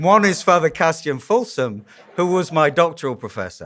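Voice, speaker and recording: Speaking with a strong Yorkshire accent, a man moves at a moderate pace with lively intonation. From northern England, Yorkshire. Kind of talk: conference lecture. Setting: conference hall with audience. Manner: conversational, humorous.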